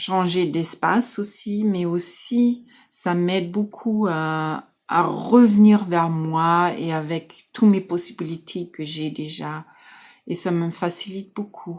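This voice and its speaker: Speaking at a very slow pace, a woman uses a fairly low voice with a German accent and ordinary pitch variation. The recording is very clean, with a silent background. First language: German (speaking French). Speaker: life coach. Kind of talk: casual talk to camera. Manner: halting.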